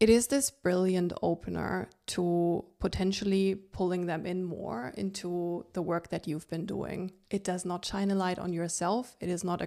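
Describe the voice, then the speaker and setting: A woman with a non-native accent speaks in a dark, mellow tone with fairly even intonation. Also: very clean recording, silent background. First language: not English. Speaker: podcast host. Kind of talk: solo podcast monologue. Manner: conversational, relaxed.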